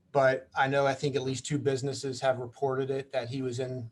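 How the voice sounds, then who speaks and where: A man speaks at a fairly quick pace in a medium pitch. His voice is somewhat breathy. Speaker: police officer. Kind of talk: community meeting presentation. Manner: fast, rambling.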